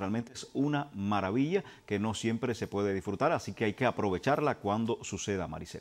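Here a man is speaking. His intonation is lively. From Cuba. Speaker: TV show co-host. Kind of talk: casual chat. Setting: at home.

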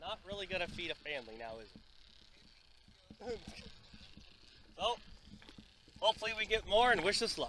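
A man uses a raised, projected voice with a bright, sharp tone at a fairly quick pace, with big swings in loudness. The sound is dry with no echo, over light background noise. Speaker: angler vlogger. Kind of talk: casual vlog chat. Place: boat. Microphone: phone near.

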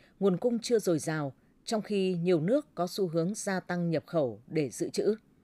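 A woman's dark, mellow tone with lively intonation. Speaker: radio news presenter. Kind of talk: news reading. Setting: studio. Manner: formal. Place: studio.

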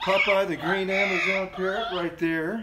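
A man is speaking. Loud background noise runs underneath. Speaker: songwriter hosting a faith video series. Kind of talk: casual vlog chat. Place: home room. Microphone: phone near.

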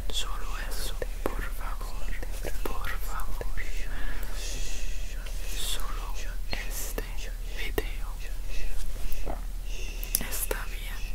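A man speaks at a very slow pace, leaving long, frequent pauses. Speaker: ASMR creator. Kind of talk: soft calming ASMR talk. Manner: gentle whisper into close microphone. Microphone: studio mic.

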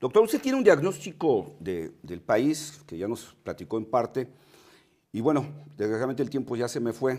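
Over a quiet background, a man with a dark, mellow tone speaks at a moderate pace. His voice has very wide pitch swings and big swings in loudness. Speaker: TV interviewer. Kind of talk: TV interview. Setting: studio. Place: studio.

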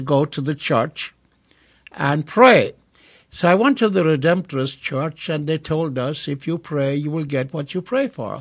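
A man talks at a fairly slow pace with lively intonation. The background is quiet. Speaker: radio show co-host. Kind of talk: storytelling. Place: studio.

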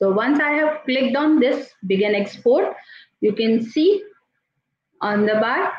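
A woman speaks somewhat breathily at a fairly slow pace with lively intonation. Audible room echo and light background noise surround her. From India. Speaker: teacher and tool trainer; teacher, tool trainer. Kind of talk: software tutorial. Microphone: video call.

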